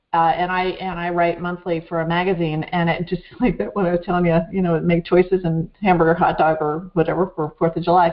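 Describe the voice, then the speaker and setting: A woman with a fairly low pitch speaks at a fairly quick pace in an ordinary speaking voice. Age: 60s. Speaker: talk show host. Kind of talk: interview conversation.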